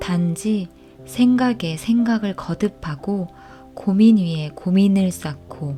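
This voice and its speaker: Music plays in the background as a woman talks in a calm, soothing tone. Her pace is very slow, with ordinary pitch variation. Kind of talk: audiobook reading.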